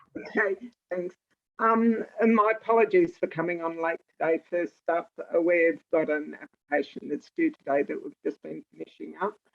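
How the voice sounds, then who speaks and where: A woman speaks with an Australian accent. She keeps a moderate pace. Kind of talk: online meeting update. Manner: quiet.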